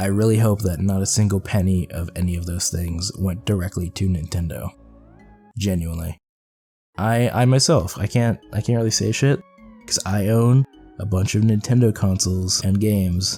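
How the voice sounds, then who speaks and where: Music plays in the background as a man speaks. His pitch is fairly low and his pace moderate. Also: ordinary pitch variation. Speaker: gaming video creator. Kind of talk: podcast-style commentary. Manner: casual, rambling.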